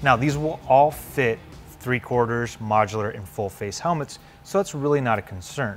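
There is music in the background as a man speaks at a moderate pace. His pitch variation is ordinary. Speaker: presenter. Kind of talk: product review presentation. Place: shop.

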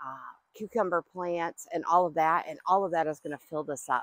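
A woman with a plain, everyday voice, fairly low in pitch and fairly even in intonation, is heard against a quiet background in a dry sound with no echo. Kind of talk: casual vlog chat. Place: garden. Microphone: lapel.

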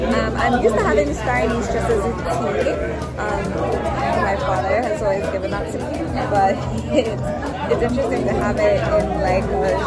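Loud music plays in the background. Over it, a woman speaks with long, frequent pauses. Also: moderate pace. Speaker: travel vlogger. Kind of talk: casual vlog chat. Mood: relaxed, reflective. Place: home room. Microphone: phone near.

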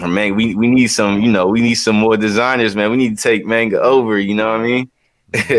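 A man with an American accent at a very fast pace, monotone and flat, with very even loudness over a quiet background. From US South, Charleston, South Carolina; South Carolina. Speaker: visual artist; guest. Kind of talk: interview. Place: home room.

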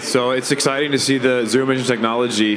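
A man at a very fast pace, fairly even intonation, noticeable background noise. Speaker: panelist. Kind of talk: panel discussion answer. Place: stage. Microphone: handheld.

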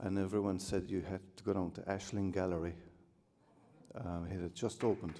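Using a Cork accent, a man with a very deep, low pitch and a dark, mellow tone talks fairly quickly in a monotone, flat way, leaving long, frequent pauses. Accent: Cork Irish. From Cork, Ireland; Ireland. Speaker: artist. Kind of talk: acceptance speech with anecdotes. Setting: hotel ballroom with audience. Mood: warm, humorous. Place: hall. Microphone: podium.

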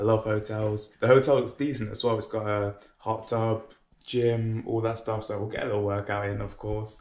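A man's fairly low, slightly mellow voice with little pitch movement, moderate pace and few pauses

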